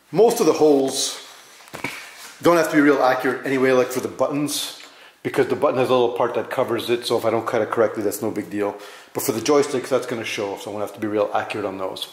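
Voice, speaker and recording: Amid audible room echo, a man talks at a very fast pace with ordinary pitch variation. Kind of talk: casual tutorial vlog. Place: garage.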